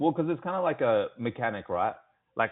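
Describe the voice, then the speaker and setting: The man has an Australian accent. He talks at a fairly quick pace. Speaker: sales rep. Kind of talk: sales call. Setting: phone call. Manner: casual, filler-heavy.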